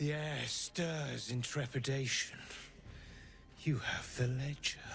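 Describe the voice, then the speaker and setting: Over clear background noise, a man puts on a character voice at a medium pitch and a fairly slow pace. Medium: video game. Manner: cold, commanding.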